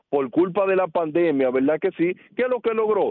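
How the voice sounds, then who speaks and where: A man talks in a high voice with lively intonation. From Dominican Republic, Puerto Plata. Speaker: radio commentator on skills and the future of work. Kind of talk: explanatory radio talk. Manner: emphatic.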